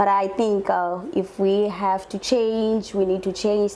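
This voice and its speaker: A woman with an African accent speaks at a fairly slow pace in a medium pitch with monotone, flat intonation. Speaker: show host. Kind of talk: interview. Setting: studio. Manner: halting, repeats words.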